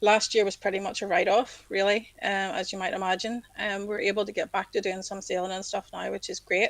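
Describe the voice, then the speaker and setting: A woman speaks with a Northern Irish accent at a moderate pace. Her intonation is flat and monotone. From Northern Ireland, County Down. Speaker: civil servant and yacht club secretary. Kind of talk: casual interview chat. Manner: hesitant, many ums.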